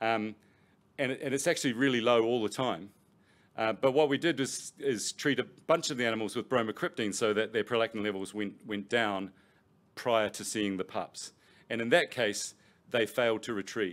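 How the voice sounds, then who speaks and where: With a New Zealand accent, the speaker talks at a fairly quick pace on a very clean recording with a silent background. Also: man. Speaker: professor. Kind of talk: lecture. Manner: halting, with many fillers and repetitions.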